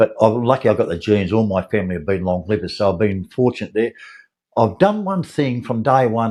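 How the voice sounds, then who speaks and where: Speaking at a fairly quick pace against a quiet background, a man with a fairly low pitch talks in an Australian accent. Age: 70s. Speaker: lawn mowing contractor. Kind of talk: casual chat. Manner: halting.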